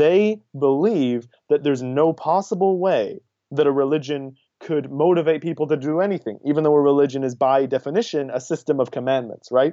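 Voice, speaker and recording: This man has an unremarkable speaking voice with an American accent and a fairly high pitch. He talks at a fairly quick pace with ordinary pitch variation. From New York City, US. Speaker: activist and student. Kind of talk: casual interview.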